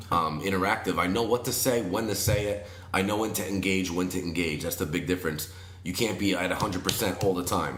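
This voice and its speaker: An energetic man with a very deep, low pitch, talking very fast amid audible room echo and music in the background. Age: 30s. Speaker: wedding DJ and MC. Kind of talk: casual podcast interview.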